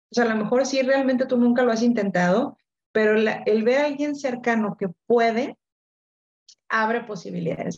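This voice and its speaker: Speaking at a moderate pace, the woman sounds somewhat breathy and fairly high-pitched. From Mexico, Monterrey. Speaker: coach and author. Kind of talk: interview. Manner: repeats words, hesitant fillers.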